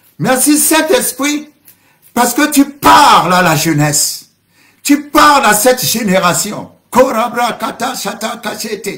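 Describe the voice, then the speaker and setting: A man talks at an extremely high pitch, his raised, projected voice carrying a bright, sharp tone. His pitch swings very widely, and he speaks at a very slow pace. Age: 60s. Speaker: pastor. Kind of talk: sermon. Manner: speaking in tongues interspersed.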